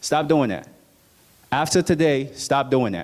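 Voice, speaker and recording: Someone with an American accent talks at a moderate pace in an animated tone, with ordinary pitch variation. The recording is very clean, with a silent background. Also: man. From United States. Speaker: motivational speaker. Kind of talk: motivational talk.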